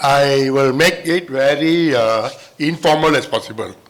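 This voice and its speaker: There is audible room echo and noticeable background noise as a man with a fairly high pitch talks with ordinary pitch variation. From Malaysia. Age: 70s. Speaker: academic presenter. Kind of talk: informal conference talk.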